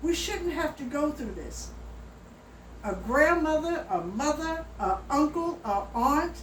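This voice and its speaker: A woman speaks at a very slow pace in a high voice with lively intonation, over noticeable background noise and audible room echo. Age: 70s. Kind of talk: personal appeal video. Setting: at home. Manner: emphatic.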